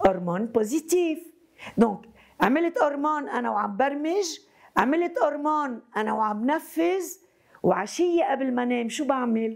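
In a Lebanese accent, a woman with a high pitch makes very wide pitch swings at a fairly slow pace against a quiet background. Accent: Lebanese Arabic with French code-switching. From Lebanon. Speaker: psychotherapist. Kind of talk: lecture. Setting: university hall with student audience. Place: classroom.

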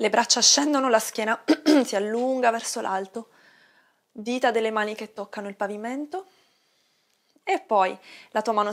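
The background is quiet. A woman talks at a moderate pace with ordinary pitch variation. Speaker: yoga instructor. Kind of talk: guided exercise instruction. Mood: calm, soothing. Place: home room.

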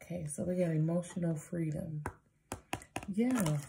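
A woman speaks very slowly in a fairly low voice, her pitch rising and falling in an ordinary way. Background noise is noticeable throughout. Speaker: card reader. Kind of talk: casual oracle card reading. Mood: warm, playful, laughing. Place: home room.

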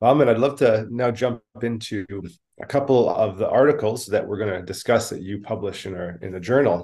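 A dark, mellow tone at a fairly quick pace, with a Canadian accent. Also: man, ordinary pitch variation, big swings in loudness, quiet background. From Canada. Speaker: podcast co-host. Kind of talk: interview. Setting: video call. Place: home room. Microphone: video call.

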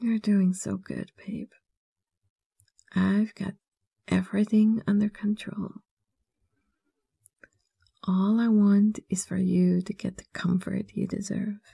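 Soft-spoken and soothing, the voice moves at a very slow pace with long, frequent pauses over a quiet background. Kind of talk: soft comforting roleplay monologue. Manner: soft, soothing ASMR murmur.

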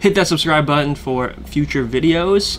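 Faint background music is audible. The man speaking shows ordinary pitch variation. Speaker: product reviewer. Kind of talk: casual vlog outro. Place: home room.

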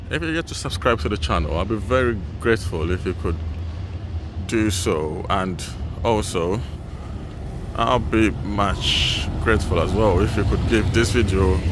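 A man speaks at a very deep, low pitch with ordinary pitch variation. The sound is dry with no echo, and the background noise is noticeable. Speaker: travel vlogger. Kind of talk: casual vlog chat. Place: station. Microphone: phone near.

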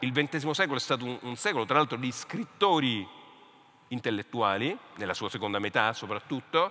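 Very wide pitch swings mark this man's speech. He keeps a moderate pace. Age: 50s. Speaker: literature professor and author; speaker. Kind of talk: panel discussion. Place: stage. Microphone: headset.

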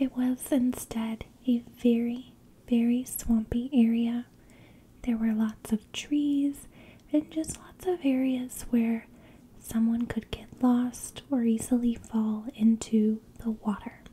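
A soft-spoken woman with a gentle tone and a high pitch reads at a very slow pace with fairly even intonation. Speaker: storyteller. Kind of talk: true crime narration. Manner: soft-spoken, gentle, hushed ASMR voice. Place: home room. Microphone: studio mic.

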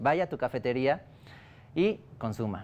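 The man's intonation is lively. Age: 20s. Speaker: startup founder. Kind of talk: business pitch and interview. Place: studio. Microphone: lapel.

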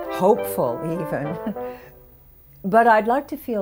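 A woman speaks with clear music in the background. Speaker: interviewee. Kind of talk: interview answer. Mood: earnest, wistful storytelling. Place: home room.

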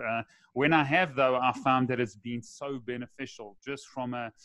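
A man talks in a monotone, flat way. The background is quiet and the sound is dry with no echo. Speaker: podcast host. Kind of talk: interview question. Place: home room. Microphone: studio mic.

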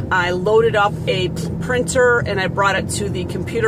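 Ordinary pitch variation in a dry sound with no echo, plus noticeable background noise. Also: woman. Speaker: vlogger. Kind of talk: casual vlog chat. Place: car. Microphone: phone near.

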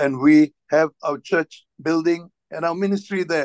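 A man's high voice, fairly slow and fairly even in intonation, dry with no echo against a quiet background. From Singapore. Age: 60s. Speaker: church minister. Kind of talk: sermon. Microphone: video call.

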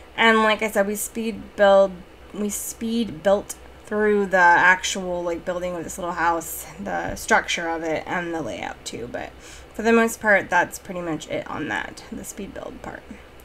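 Over light background noise, a woman speaks at a fairly slow pace with ordinary pitch variation and big swings in loudness. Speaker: game build creator. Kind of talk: casual gameplay commentary voice-over. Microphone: studio mic.

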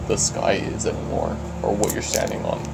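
A man whispers at a moderate pace. Music plays in the background. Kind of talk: parody ASMR. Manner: whispered.

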